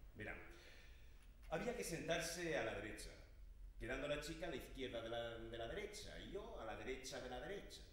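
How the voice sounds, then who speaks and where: Audible room echo around a man talking at a fairly quick pace. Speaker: stage actor. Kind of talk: theatrical dialogue monologue. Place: stage. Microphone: camera far.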